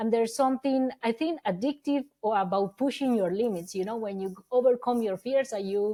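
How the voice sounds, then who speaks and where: Her voice is fairly high for a woman, with a dark, mellow tone and ordinary pitch variation. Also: very clean recording, silent background. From Colombia. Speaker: ultra-distance cyclist. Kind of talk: podcast interview. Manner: bubbly.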